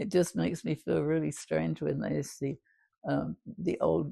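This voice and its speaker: A woman speaks at a moderate pace with an English accent. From London, England. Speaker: WWII Blitz survivor. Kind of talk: interview answer.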